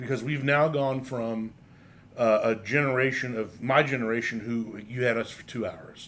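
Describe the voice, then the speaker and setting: A man's medium-pitched voice at a moderate pace with fairly even intonation, a normal speaking voice. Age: 30s. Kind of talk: casual chat. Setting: pub.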